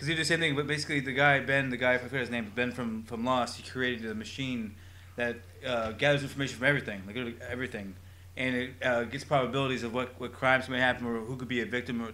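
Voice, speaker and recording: A man talks at a very fast pace and medium pitch, his intonation fairly even. His tone is bright and sharp, and audible room echo surrounds it. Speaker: podcast co-host. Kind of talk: casual chat. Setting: live-streamed podcast. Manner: halting.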